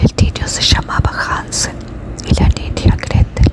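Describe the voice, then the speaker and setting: Whispered speech, very slow, against noticeable background noise. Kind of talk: whispered bedtime fairy tale reading. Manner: soft, calm.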